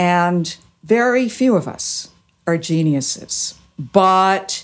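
Very wide pitch swings mark a delivery that unfolds at a very slow pace. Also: woman. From Canada. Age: 70s. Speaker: author and speaker. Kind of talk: interview conversation.

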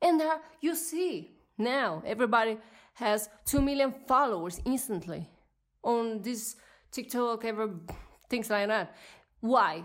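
A woman with a non-native accent speaks at a fairly slow pace and a fairly high pitch, her tone animated and angry with lively intonation. Long, frequent pauses break up her speech on a very clean recording with a silent background. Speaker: podcast host. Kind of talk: solo podcast monologue, rant. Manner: animated, emotional, angry.

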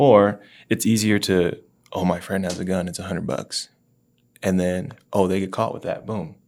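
On a very clean recording with a silent background, a man speaks at a moderate pace in a fairly low pitch with ordinary pitch variation. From US South. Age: 20s. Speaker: podcast guest, gun store colleague. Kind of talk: casual interview chat. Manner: informal, some filler words.

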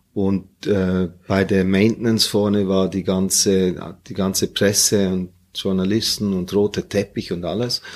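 A very deep, low male voice in monotone, flat intonation at a fairly slow pace, on a very clean recording with a silent background. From Hong Kong, Germany and Singapore. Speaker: retired airline captain. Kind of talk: casual interview.

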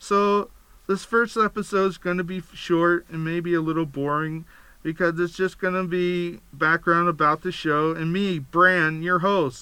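On a very clean recording with a silent background, a man with an American accent and a high pitch talks at a fairly slow pace in a bright, sharp tone with fairly even intonation. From Pennsylvania. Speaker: podcast host. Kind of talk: podcast monologue. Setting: studio.

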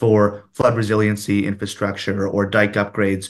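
Using a normal speaking voice pitched fairly low, a man talks at a moderate pace. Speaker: city councillor. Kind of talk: interview.

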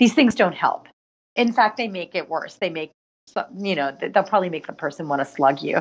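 With a plain, everyday voice, a woman speaks fairly quickly and with lively intonation. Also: medium pitch for a woman. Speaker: author and nonprofit co-founder. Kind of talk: interview conversation about grief.

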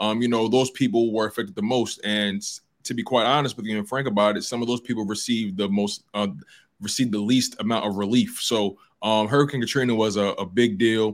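A man speaks in a plain, everyday voice at a medium pitch, moving at a fairly quick pace with fairly even intonation. The recording is very clean with a silent background. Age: 20s. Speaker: show producer. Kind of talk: casual chat.

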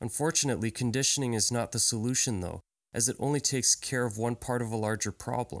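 On a very clean recording with a silent background and a dry, close sound with no echo, a man talks at a very fast pace with fairly even intonation. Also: medium pitch for a man. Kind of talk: solo podcast monologue. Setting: home recording.

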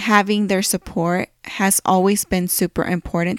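On a very clean recording with a silent background, a woman with a Californian accent sounds dry and close, with no echo. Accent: Californian American English. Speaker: podcast host. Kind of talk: casual personal monologue.

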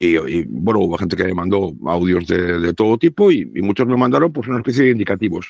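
Vocal fry runs through very fast speech with lively intonation and hardly any pauses. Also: man, very deep, low pitch for a man. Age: 60s. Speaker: radio broadcaster. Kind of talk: casual chat.

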